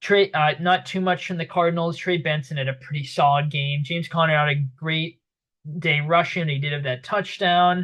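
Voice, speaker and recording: With a slight Boston accent, a man speaks at a fairly quick pace and with ordinary pitch variation. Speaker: sports commentator. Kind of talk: sports recap monologue. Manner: casual, many fillers.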